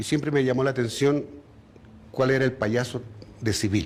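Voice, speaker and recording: This man's voice has ordinary pitch variation. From Chile (raised there from age 13; born in Bogotá). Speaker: retired circus clown. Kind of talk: interview testimony.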